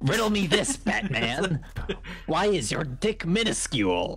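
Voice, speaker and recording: A man at a high pitch and fairly slow pace. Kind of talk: comic overacting. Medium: game stream. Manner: gleeful, taunting.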